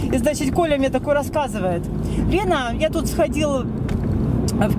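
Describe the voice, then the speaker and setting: The sound is dry, with no echo. A woman speaks over loud background noise. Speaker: driver vlogger. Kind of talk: casual vlog chat. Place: car. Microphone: phone near.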